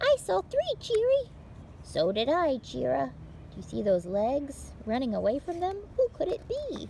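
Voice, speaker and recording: A woman's put-on character voice with clear background noise. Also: moderate pace. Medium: read story. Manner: curious, eager.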